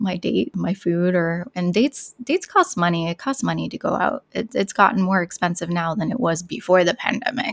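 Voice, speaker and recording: A woman's unremarkable speaking voice at medium pitch, dry and close with no echo. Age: 30s. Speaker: beauty content creator. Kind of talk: interview.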